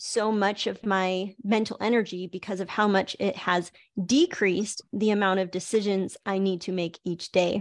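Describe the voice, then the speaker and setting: Against a quiet background, a woman with an ordinary speaking voice speaks at a fairly slow pace, her medium pitch carrying fairly even intonation. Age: 40s. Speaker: online wellness coach hosting a group call. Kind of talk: live group video call talk.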